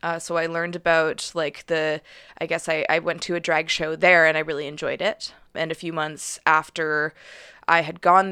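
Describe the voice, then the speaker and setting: A woman's bright, sharp, fairly low voice with a Western Canadian accent at a moderate pace, on a very clean recording with a silent background. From Calgary, Alberta, Canada. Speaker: journalist and podcast producer. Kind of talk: interview. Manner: hesitant, many fillers.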